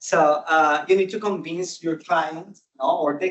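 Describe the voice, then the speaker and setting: Speaking at a fairly slow pace, a man with a high voice has a Spanish accent. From Colombia. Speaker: service designer. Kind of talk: conference talk. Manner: halting, many fillers.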